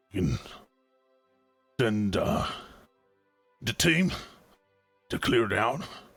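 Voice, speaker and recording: A man puts on a raspy character voice at a medium pitch, leaving long, frequent pauses. Faint music plays in the background. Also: fairly slow pace. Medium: actual play. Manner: hesitant, rambling, folksy.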